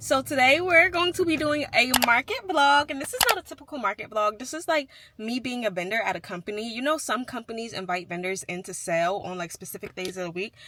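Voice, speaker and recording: A woman with a fairly high pitch speaks at a fairly quick pace with hardly any pauses, very wide pitch swings and big swings in loudness, over noticeable background noise. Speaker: crochet vlogger and market vendor. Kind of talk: casual vlog.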